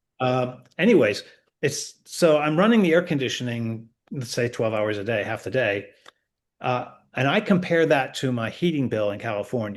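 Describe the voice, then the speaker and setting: A man's medium-pitched voice with lively intonation, a moderate pace and a quiet background. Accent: Northeastern US. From Connecticut, US Northeast. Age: 60s. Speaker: retired expat. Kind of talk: interview. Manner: halting, many false starts.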